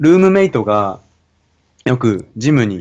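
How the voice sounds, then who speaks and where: A man at a very slow pace against a quiet background. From Japan. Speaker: university student. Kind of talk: casual conversation. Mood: relaxed, friendly. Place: home room. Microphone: studio mic.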